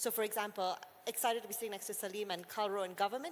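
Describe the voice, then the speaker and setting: At a very fast pace, a woman talks in a fairly high pitch. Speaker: agri-tech startup executive. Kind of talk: panel discussion.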